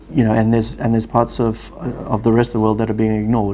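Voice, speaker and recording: A man speaks with a South African accent. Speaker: family office executive, former lawyer. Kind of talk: interview.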